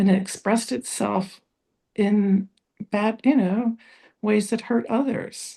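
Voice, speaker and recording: Somewhat breathy and dark, mellow in tone, a woman speaks at medium pitch with fairly even intonation. She moves at a very slow pace with long, frequent pauses. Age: 70s. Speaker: spiritual discussion group participant. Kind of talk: personal testimony in group discussion.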